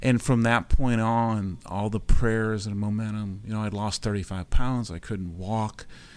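A man's fairly low-pitched, unremarkable speaking voice, fairly slow and fairly even in intonation, on a very clean recording with a silent background. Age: 60s. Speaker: patient sharing recovery story. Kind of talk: interview testimony. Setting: studio.

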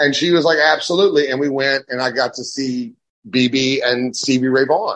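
At a moderate pace, a man speaks in a plain, everyday voice, fairly high in pitch with ordinary pitch variation. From Texas (raised there from age twelve, born in Louisiana). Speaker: blues rock guitarist. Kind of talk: interview.

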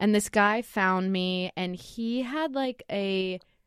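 In an American accent, a woman with a normal speaking voice talks at medium pitch with ordinary pitch variation, the sound dry and close with no echo against a quiet background. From Oregon (Lake Oswego, near Portland). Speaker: graphic designer, studio co-founder. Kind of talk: casual chat.

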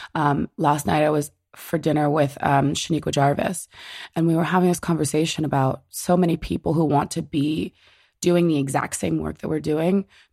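In a very clean recording with a silent background, a woman with a New Jersey accent speaks at a moderate pace in a very deep, low pitch, with vocal fry, a dark, mellow tone and ordinary pitch variation. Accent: American, New Jersey. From New Jersey, US. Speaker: writer and curator. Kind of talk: interview conversation.

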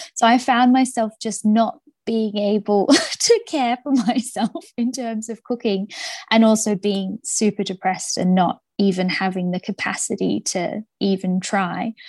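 Somewhat breathy woman at a fairly slow pace, with ordinary pitch variation, a dry, close sound with no echo and a quiet background. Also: fairly high pitch for a woman. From Australia. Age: 30s. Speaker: author. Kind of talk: interview.

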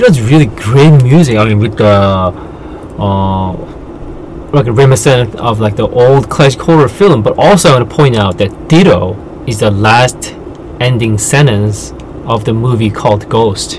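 Over noticeable background noise, a man with a Korean accent talks at a moderate pace with ordinary pitch variation. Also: medium pitch for a man. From South Korea. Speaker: podcast co-host, writer and translator. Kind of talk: casual chat.

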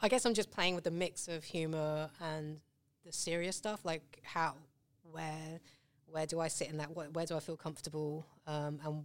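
A woman with a British accent speaks in a very deep, low pitch at a moderate pace. Her loudness swings a lot. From England. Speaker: artist. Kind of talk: casual interview chat. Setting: studio.

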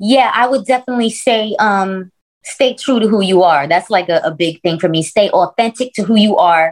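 In a normal speaking voice with an American accent, a woman talks at a medium pitch and moderate pace. Her intonation is lively and her loudness very even. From US Northeast, Brooklyn. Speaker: rapper. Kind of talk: casual interview.

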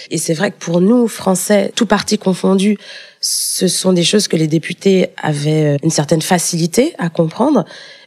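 A woman at a fairly slow pace, dry and close with no echo, over noticeable background noise. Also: medium pitch for a woman, ordinary pitch variation, very even loudness. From France, Paris. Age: 20s. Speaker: EU civil servant. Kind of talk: interview.

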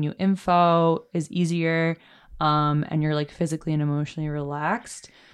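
A woman with a New York accent and a fairly low pitch speaks in a flat monotone at a fairly slow pace. The recording is very clean with a silent background. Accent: New York American. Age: 20s. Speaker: photographic artist. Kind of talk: casual chat.

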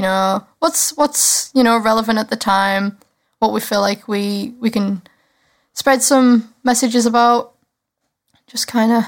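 A Cumbrian accent at a fairly slow pace, with fairly even intonation and long, frequent pauses. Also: woman, fairly high pitch for a woman. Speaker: podcast co-host. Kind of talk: casual chat.

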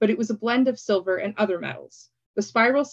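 Someone reads aloud in a natural voice, with ordinary pitch variation. The background is quiet.

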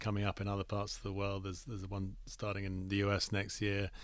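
A man with an English accent speaks at a fairly quick pace. His pitch is fairly low, and the background is quiet. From England. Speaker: cricket league executive. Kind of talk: radio interview. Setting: radio studio.

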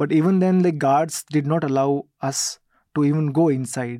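A man speaks with an Indian accent at a moderate pace. His voice is fairly high in pitch, with a dark, mellow tone and fairly even intonation. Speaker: reporter. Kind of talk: casual interview.

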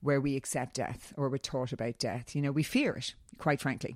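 On a very clean recording with a silent background, a woman with an Irish accent speaks at a very deep, low pitch with fairly even intonation. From Ireland. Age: 40s. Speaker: wellness coach and former model. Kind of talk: casual interview.

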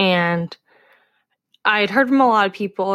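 Here is a plain, everyday voice from a woman, medium in pitch with ordinary pitch variation. The recording is very clean, with a silent background. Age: 20s. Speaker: professional middle distance runner. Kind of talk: casual chat.

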